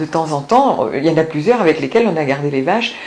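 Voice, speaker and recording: Over noticeable background noise, a woman with a very deep, low voice speaks at a fairly quick pace. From France, Auvergne (Cantal, Cézallier). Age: 60s. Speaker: retired history teacher. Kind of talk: interview testimony.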